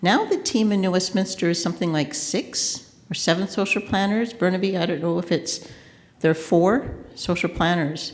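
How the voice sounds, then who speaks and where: At a moderate pace, a woman speaks at a medium pitch with ordinary pitch variation, and room echo is audible. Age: 60s. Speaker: consultant. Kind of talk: conference panel talk. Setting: conference panel with audience.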